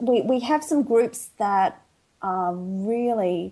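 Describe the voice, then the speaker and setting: A woman speaks with lively intonation and an Australian accent. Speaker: podcast guest.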